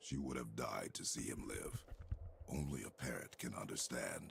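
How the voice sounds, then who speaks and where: A man performs a put-on character voice with growling. Clear background noise runs under it. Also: moderate pace. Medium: video game. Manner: terse, grave.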